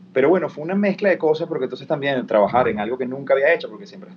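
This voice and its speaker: A man speaks in a Venezuelan accent. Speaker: actor and TV presenter. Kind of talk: interview.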